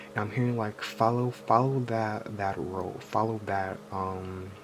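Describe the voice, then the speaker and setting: A man at a fairly low pitch with ordinary pitch variation, over noticeable background noise. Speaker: tarot reader. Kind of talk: tarot reading. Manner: halting, stuttering; casual, filler-heavy.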